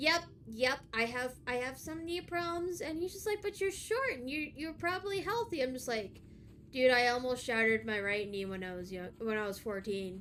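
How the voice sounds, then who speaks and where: A woman with a high voice talks at a moderate pace, her pitch swinging very widely. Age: 30s. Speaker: vtuber streamer. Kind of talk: casual chat.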